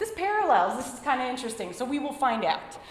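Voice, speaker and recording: A woman with a high pitch speaks in an animated tone, with audible room echo and noticeable background noise. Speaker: lecturer, teacher. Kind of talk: lecture. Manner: fast.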